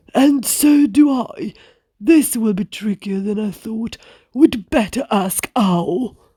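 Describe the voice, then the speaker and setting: The speaker uses a put-on character voice with a fairly high pitch. The pace is fairly slow. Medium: read story.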